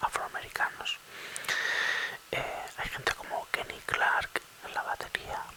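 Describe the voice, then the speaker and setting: At a very slow pace, someone whispers while noticeable background noise carries on. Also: man. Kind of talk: ASMR whisper talk about jazz. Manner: whispered, soft-spoken.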